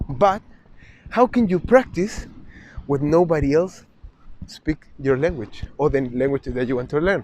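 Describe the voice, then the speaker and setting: A man with a Spanish accent at a moderate pace, with lively intonation. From South America (Chile/Uruguay). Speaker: travel vlogger. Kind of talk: vlog monologue. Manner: halting, many restarts.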